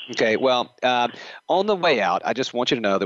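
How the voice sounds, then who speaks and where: A man talks in a Southern accent. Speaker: podcast host. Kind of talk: interview. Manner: hesitant, with fillers.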